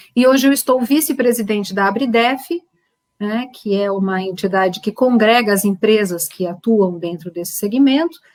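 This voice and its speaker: This woman has a normal speaking voice, fairly high in pitch. She talks at a moderate pace with lively intonation. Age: 50s. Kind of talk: panel discussion.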